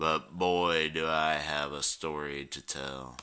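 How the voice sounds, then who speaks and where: A man's gravelly put-on character voice, very deep and low in pitch, with monotone, flat intonation at a fairly slow pace. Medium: read story. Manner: gruff, scornful.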